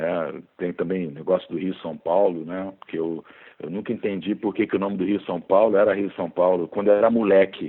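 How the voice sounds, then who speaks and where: This man has a very deep, low pitch and speaks at a moderate pace with fairly even intonation. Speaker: biology teacher and author. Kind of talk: casual interview chat.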